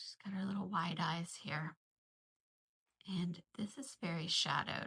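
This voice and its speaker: Bright and sharp in tone, a woman's fairly low voice proceeds at a fairly slow pace with ordinary pitch variation. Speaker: art teacher leading a drawing session. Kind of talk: tutorial. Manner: casual, thinking aloud; whispering at moments.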